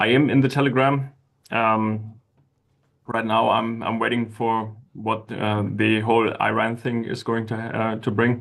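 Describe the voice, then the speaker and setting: At a fairly slow pace, a man talks in a monotone, flat way. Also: medium pitch for a man. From Germany. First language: German. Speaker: caller, crypto trader. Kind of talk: casual chat. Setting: calling from work. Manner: halting.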